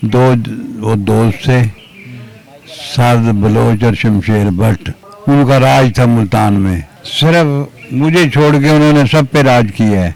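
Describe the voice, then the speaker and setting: Over music in the background, a man speaks at a medium pitch with very even loudness. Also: ordinary pitch variation. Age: 60s. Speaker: retired wrestler. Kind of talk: interview storytelling.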